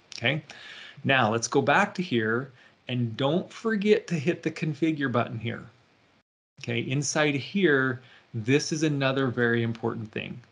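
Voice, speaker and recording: Against a quiet background, a man with an ordinary speaking voice talks at a fairly slow pace and a medium pitch, with ordinary pitch variation. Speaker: IT consultant presenter. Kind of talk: tutorial.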